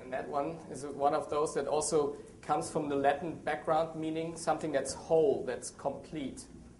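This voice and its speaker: In a German accent, the voice stays monotone and flat, with audible room echo. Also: man, fairly high pitch for a man, moderate pace. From Germany. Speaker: associate editor and biblical scholar. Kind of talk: seminar talk with audience.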